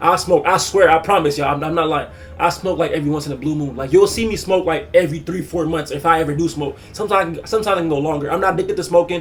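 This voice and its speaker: A man's high pitch at a very fast pace, fairly even in intonation, with music in the background. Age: 20s. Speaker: youtuber. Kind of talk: casual vlog monologue. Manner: halting.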